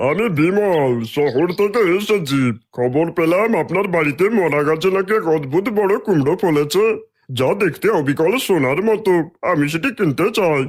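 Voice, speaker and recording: A man's cartoonish character voice, high-pitched, at a moderate pace with lively intonation and very even loudness. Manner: wheedling, slick.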